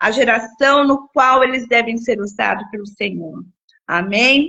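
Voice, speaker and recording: Speaking fairly slowly, a woman uses a high pitch and lively intonation. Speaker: children's ministry teacher. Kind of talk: livestream lesson planning talk. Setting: live stream.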